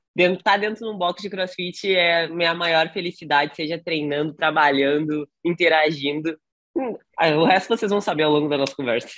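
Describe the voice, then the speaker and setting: In a normal speaking voice, a woman talks at a moderate pace with a fairly low pitch and ordinary pitch variation. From southern Brazil, Rio Grande do Sul. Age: 20s. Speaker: CrossFit coach. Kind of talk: podcast interview.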